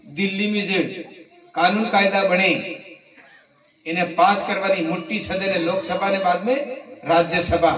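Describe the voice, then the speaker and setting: A man's voice sits at a high pitch, heard with noticeable background noise. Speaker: member of parliament. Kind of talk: political speech at village night meeting. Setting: outdoors.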